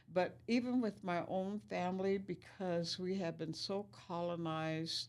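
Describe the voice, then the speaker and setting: Here a woman talks at a fairly slow pace. Her voice is fairly low, with lively intonation. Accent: Lakota. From US Great Plains, Pine Ridge Reservation, South Dakota. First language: Lakota. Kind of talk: interview, life story.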